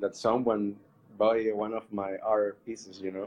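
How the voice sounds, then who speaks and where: A Spanish accent colors the speech. It moves at a fairly slow pace. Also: man. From Colombia. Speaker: artist. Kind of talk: casual interview. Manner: halting. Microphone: connection dropped.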